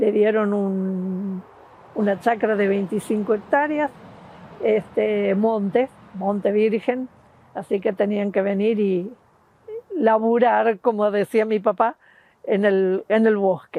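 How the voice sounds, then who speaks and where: Very slow speech from a woman at a medium pitch, fairly even in intonation, with long, frequent pauses. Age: 80s+. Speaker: retired teacher, Hungarian-Argentine descendant. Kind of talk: interview testimony. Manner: halting with fillers.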